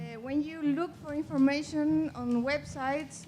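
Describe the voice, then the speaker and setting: A woman with a Chilean accent speaks at a fairly slow pace. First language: Spanish. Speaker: audience member. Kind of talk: audience question.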